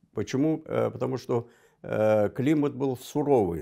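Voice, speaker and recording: Over a quiet background, a man with a dark, mellow tone speaks at a fairly slow pace with ordinary pitch variation. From Armenia (Goycha area, Azerbaijani community); Armenia. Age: 70s. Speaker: diplomat; guest. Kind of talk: TV interview. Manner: halting, many fillers. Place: studio. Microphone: lapel.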